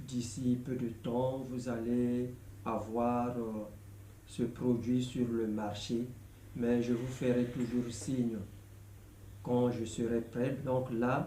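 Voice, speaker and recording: A man with a Congolese accent speaks at a very slow pace and a medium pitch, with a dark, mellow tone, monotone, flat intonation, long, frequent pauses and audible room echo. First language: Lari (speaking French). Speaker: gospel songwriter. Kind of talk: video announcement. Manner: halting, many hesitations.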